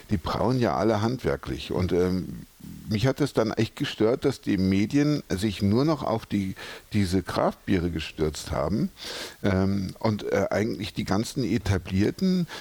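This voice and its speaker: A man with a fairly low pitch at a very slow pace, his loudness very even, over noticeable background noise. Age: 50s. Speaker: brewery director. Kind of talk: interview. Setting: brewery.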